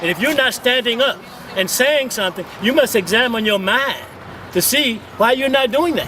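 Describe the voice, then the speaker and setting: A man's fairly quick speech against noticeable background noise. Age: 70s. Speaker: community activist. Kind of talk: street interview. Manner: impassioned.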